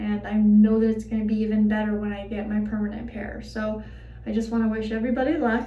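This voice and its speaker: A woman's fairly high voice at a very fast pace, monotone and flat, with noticeable background noise and audible room echo. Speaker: vlogger sharing personal experience. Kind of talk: personal vlog. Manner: hesitant with fillers.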